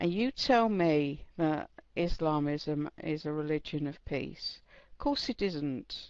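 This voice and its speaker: A woman with an English accent, lively intonation and a fairly slow pace. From England. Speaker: chat room participant. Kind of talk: debate statement.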